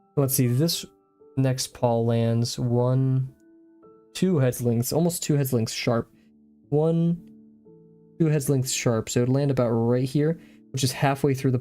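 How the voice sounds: A man's medium-pitched voice at a fairly slow pace, with fairly even intonation, very even loudness, and long, frequent pauses over music in the background.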